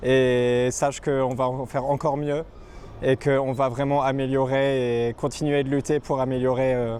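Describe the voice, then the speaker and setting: A man speaks in a flat, monotone way at a moderate pace. His pitch sits in the medium range. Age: 20s. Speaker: trade unionist. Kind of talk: interview.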